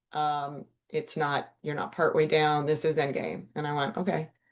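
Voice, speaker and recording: Against a quiet background, a woman with a very deep, low pitch speaks at a moderate pace. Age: 60s. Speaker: animal wellness practitioner. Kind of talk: casual monologue. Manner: casual, conversational.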